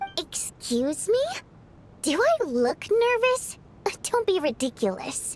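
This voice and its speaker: A woman's put-on character voice at an extremely high pitch, fairly slow with long, frequent pauses and very wide pitch swings, over clear background noise. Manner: nervous, defensive, haughty denial.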